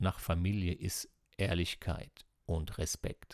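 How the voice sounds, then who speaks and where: On a very clean recording with a silent background and a dry, close sound with no echo, a man speaks with ordinary pitch variation. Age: 50s. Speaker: psychotherapy practitioner and coach. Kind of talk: personal monologue podcast.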